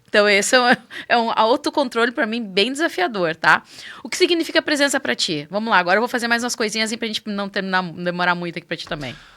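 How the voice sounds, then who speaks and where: A woman talks at a very fast pace in a fairly high voice, her tone bright and sharp and her pitch swinging very widely. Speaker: podcast host. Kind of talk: interview.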